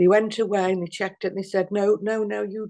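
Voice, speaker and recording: A woman speaks with a Liverpool accent at a medium pitch. The background is quiet. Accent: Liverpool (Scouse). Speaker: activist. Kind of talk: interview. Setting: video call. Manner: halting.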